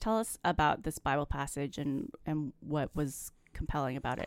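The recording is very clean with a silent background. A woman speaks with a very deep, low pitch. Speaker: podcast co-host. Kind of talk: casual chat. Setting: studio. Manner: giggly.

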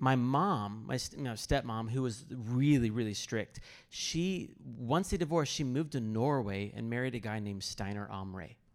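Lively intonation marks a plain, everyday voice with an American accent. The pace is moderate, in a very clean recording with a silent background. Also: man, medium pitch for a man. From US Midwest, Kansas City area. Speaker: pastor and biblical counselor. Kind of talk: personal testimony and teaching on stage.

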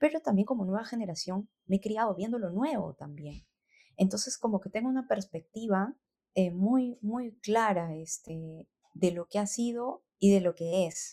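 Her voice is somewhat breathy with a dark, mellow tone, as this woman speaks at medium pitch with ordinary pitch variation in a dry, close sound with no echo. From Peru, Lima (born in Cajamarca, moved at about 7). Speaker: singer and music producer. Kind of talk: interview conversation. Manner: halting, many repetitions and fillers.

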